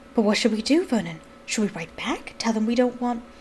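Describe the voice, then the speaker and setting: Putting on a shaky character voice, a woman speaks at a fairly quick pace and fairly high pitch with lively intonation over clear background noise. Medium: read story.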